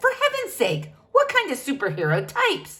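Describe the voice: Putting on a character voice, a woman speaks at a moderate pace at an extremely high pitch, with a fairly bright tone and very wide pitch swings.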